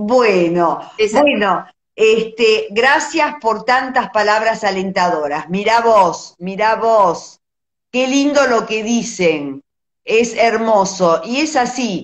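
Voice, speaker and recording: Over a quiet background, a woman talks very slowly with lively intonation. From Argentina. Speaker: visual artist, live-stream host; host of art talk. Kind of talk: casual live-stream chat. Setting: Instagram live video. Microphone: phone near.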